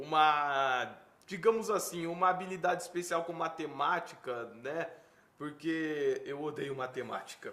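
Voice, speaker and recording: Audible room echo around a fairly slow pace and ordinary pitch variation. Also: man, fairly high pitch for a man. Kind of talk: interview. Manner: slow, paused speech; stutters when nervous.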